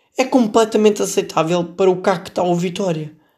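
A man with a Lisbon accent at a fairly quick pace. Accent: European Portuguese, Lisbon area. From Portugal, Setúbal. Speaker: podcast host. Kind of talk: comedic solo commentary.

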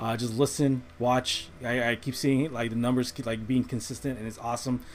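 This man speaks at a medium pitch and a fairly quick pace, his intonation monotone and flat. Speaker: podcast host. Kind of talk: casual chat. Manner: casual, conversational.

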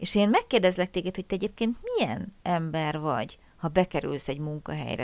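A woman with a normal speaking voice talks at a medium pitch and a fairly quick pace on a very clean recording with a silent background. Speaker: podcast host, German language teacher. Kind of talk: casual interview chat; scripted intro.

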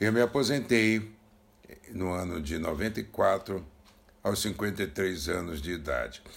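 A man's very deep, low pitch with vocal fry and lively intonation, at a very slow pace with long, frequent pauses. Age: 70s. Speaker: retired banker. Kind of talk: recorded testimony.

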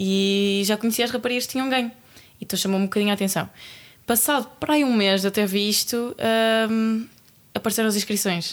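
Moderate-paced speech from a woman, medium in pitch and fairly even in intonation. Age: 20s. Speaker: track athlete. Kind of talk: casual chat.

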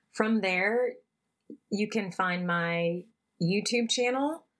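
The speech moves at a very slow pace with ordinary pitch variation. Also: woman. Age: 30s. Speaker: ultimate player and equity consultant. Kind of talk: interview. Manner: animated.

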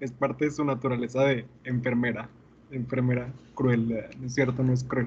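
The speaker's voice is somewhat breathy. He is a man talking at a moderate speed. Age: 20s. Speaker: podcast host and teacher. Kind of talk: casual chat.

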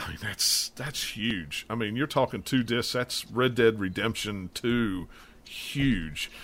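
Speaking very slowly with a West Virginia accent, a man with a medium-pitched voice shows ordinary pitch variation in a very clean recording over a silent background. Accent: West Virginian Appalachian. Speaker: podcast host, gaming. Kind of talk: casual chat.

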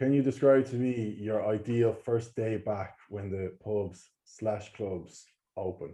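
Slow and deliberate, a man with an Irish accent speaks at a fairly low pitch in a dark, mellow tone, his intonation fairly even, his pace very slow. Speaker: podcast host. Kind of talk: casual chat.

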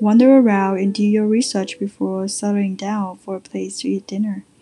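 A woman's somewhat breathy, dark, mellow voice at medium pitch. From Vietnam. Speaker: podcast host. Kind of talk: scripted tips episode.

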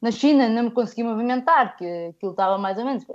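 A woman speaks in a plain, everyday voice, fairly high in pitch, with lively intonation. The background is quiet. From northern Portugal, village near Guimarães. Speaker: football industry professional and fan. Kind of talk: casual chat.

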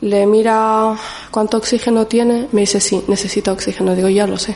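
A woman talks at medium pitch with a dark, mellow tone. Her intonation is fairly even. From Morocco, raised in the Canary Islands from about age five. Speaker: community advocate. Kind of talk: testimony.

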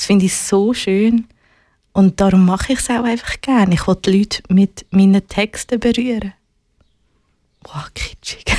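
The tone is dark and mellow, with a dry, close sound and no echo. Speech moves at a fairly slow pace, with long, frequent pauses. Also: woman, medium pitch for a woman, fairly even intonation. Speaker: musician and activist. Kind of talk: casual interview.

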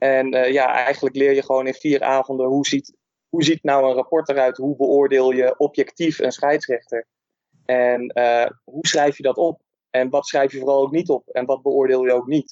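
A man's medium-pitched voice, monotone and flat, at a moderate pace with very even loudness. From Netherlands. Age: 30s. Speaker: football referee and teacher. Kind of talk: casual interview.

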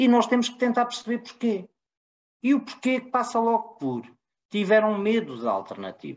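A man's extremely high-pitched voice at a moderate pace. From Portugal. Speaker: podcast co-host, political commentator. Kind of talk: political debate.

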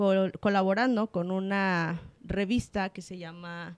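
At a very slow pace, the voice comes through dry and close with no echo, on a very clean recording with a silent background. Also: woman. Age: 20s. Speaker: psychologist. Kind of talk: interview. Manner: halting.

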